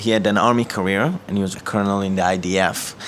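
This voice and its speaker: A man with an Israeli accent speaks at a fairly quick pace in a fairly low voice with fairly even intonation. Noticeable background noise runs underneath. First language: Hebrew. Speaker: ministry director. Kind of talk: testimony. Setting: office.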